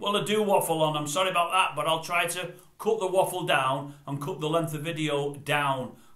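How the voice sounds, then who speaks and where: A man's fairly high voice with fairly even intonation, audible room echo, and noticeable background noise. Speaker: vlogger. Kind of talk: casual monologue. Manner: fast; quiet.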